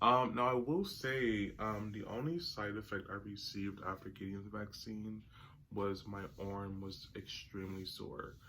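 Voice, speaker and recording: With audible room echo, a man speaks fairly slowly in a bright, sharp tone, his pitch fairly low with ordinary variation. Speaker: vlogger. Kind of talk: casual vlog. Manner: hesitant, many fillers.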